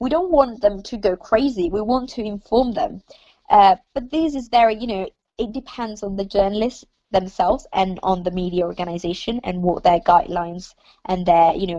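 A woman with an Italian accent speaks at a moderate pace in a dark, mellow tone, medium in pitch with lively intonation. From Italy. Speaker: journalism student. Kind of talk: casual chat.

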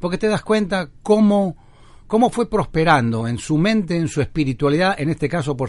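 A man with a fairly high voice for his sex delivers his words fairly quickly, his intonation lively throughout. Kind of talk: interview answers. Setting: remote link from home studio. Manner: fast.

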